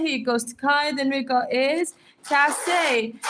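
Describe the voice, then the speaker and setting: Over noticeable background noise, a woman talks in a high voice with ordinary pitch variation. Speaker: livestreamer writing names in sand. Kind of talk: live stream shout-outs. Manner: fast; upbeat, energetic.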